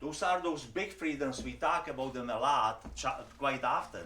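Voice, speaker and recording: In a room with audible echo, a man with a Czech accent speaks at a moderate pace, his fairly high pitch showing ordinary variation. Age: 70s. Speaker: immigrant speaker. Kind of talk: personal testimony talk.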